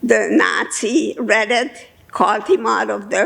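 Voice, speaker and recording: The woman's delivery is very slow. Noticeable background noise can be heard beneath her. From Budapest, Hungary. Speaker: Holocaust survivor. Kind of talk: testimony talk to an audience.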